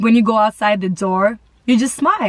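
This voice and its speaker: Ordinary pitch variation in a dry, close sound with no echo, over noticeable background noise. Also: woman. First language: not English (English is third language). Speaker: content creator. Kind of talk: casual vlog chat.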